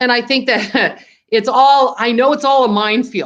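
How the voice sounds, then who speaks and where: Pitched high, a woman speaks at a moderate pace. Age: 60s. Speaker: screen printing business owner. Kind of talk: interview.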